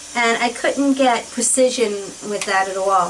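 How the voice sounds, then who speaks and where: A woman with an American accent and a high voice speaks at a moderate pace with lively intonation. Noticeable background noise and audible room echo are present. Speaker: beauty vlogger. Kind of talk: casual chat. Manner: animated.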